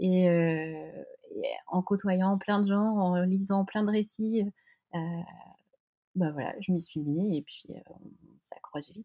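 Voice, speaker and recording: Very slowly and with long, frequent pauses, a woman speaks at a medium pitch in a somewhat breathy, dark, mellow tone, with fairly even intonation and big swings in loudness. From French coast. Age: 40s. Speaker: sports brand co-founder. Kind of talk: interview. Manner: halting, many hesitations.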